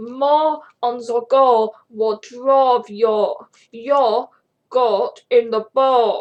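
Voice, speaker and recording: The speaker is a woman doing a put-on character voice with a high pitch. She talks at a very slow pace. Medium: read story.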